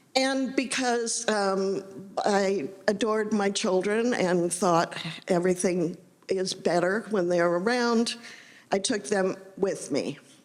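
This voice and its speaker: A woman with an American accent speaks very slowly at a medium pitch, with ordinary pitch variation and very even loudness. Room echo is audible. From US Midwest, Indiana. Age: 70s. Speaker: novelist. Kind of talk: talk to audience. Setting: stage with audience. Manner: halting.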